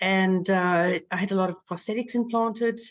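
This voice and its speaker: In a South African accent, a woman speaks at medium pitch and a moderate pace with fairly even intonation. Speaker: patient advocate. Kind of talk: personal testimony. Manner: halting, many fillers.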